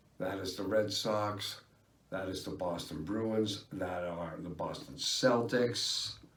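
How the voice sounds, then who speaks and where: There is audible room echo as a man speaks very slowly at a fairly low pitch with ordinary pitch variation. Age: 50s. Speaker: vlogger. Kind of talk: casual vlog monologue. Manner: halting, many fillers.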